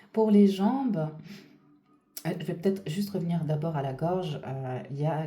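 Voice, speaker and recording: In a room with audible echo, a woman speaks at a fairly slow pace in a dark, mellow tone with ordinary pitch variation. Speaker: spiritual channeler / energy reader. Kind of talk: guided reading. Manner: loud; hesitant, many fillers.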